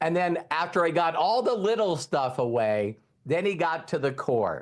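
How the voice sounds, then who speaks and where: Over a quiet background, a man with a high voice speaks at a moderate pace, swinging very widely in pitch while keeping his loudness very even. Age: 60s. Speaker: network marketing trainer. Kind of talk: motivational training talk.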